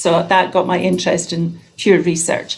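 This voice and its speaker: Speaking at a moderate pace with a Scottish accent, a woman uses a fairly low voice with vocal fry. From Scotland. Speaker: nurse researcher. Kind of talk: introduction on video call.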